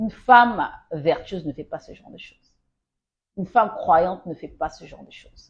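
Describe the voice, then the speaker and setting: Her medium pitch moving in an ordinary way, a woman talks with a somewhat breathy voice. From Congo. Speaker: Bible teacher. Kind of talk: Bible teaching livestream. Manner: exhortative, emphatic.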